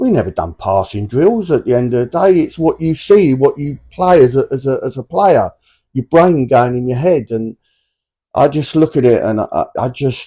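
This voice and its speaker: Somewhat breathy male speech with a dark, mellow tone and lively intonation, dry and close with no echo, over a quiet background. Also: fairly high pitch for a man, moderate pace. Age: 60s. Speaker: former footballer and football manager. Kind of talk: interview.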